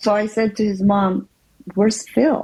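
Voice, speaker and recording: A woman at medium pitch, somewhat breathy, with a dark, mellow tone. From Philippines. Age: 60s. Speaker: interview guest sharing life story. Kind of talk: testimony.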